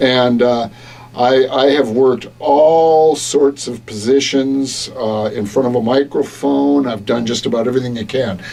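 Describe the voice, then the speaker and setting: A man at medium pitch with fairly even intonation and a fairly slow pace, noticeable background noise behind him. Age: 60s. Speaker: radio broadcaster and coach. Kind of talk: interview. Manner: hesitant, many fillers.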